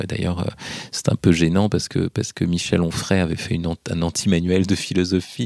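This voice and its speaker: In a very clean recording with a silent background, a man with a very deep, low pitch speaks in a dark, mellow tone and fairly even intonation. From Paris region, France (Hauts-de-Seine). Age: 40s. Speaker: philosophy professor and essayist. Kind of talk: interview. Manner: hesitant with fillers.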